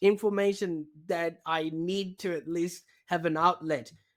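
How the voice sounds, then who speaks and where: A man with a non-native accent talks in a high pitch with ordinary pitch variation. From Zimbabwe. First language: not English. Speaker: digital marketing strategist. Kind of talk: podcast interview.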